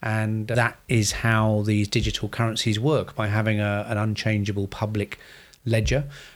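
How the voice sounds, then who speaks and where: A man's fairly low, monotone voice with a British accent, moderate in pace and very even in loudness, on a very clean recording with a silent background. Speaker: financial planner, podcast co-host. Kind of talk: casual finance podcast chat.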